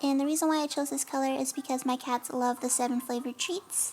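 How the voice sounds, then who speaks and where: A woman speaks over noticeable background noise. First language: not English. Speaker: nail art YouTuber. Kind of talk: tutorial voiceover. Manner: casual, hesitant with fillers.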